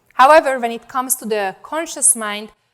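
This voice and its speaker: Fairly high-pitched woman's voice at a fairly quick pace, with ordinary pitch variation. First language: not English. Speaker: data scientist and conference speaker. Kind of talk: conference talk. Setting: stage with audience.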